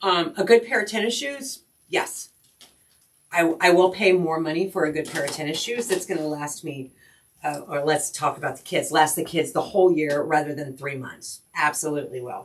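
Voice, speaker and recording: At a moderate pace, a woman speaks in a plain, everyday voice, fairly low in pitch, with ordinary pitch variation and big swings in loudness. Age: 60s. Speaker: crafting livestream host. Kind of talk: casual live-stream chat. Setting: live stream at home.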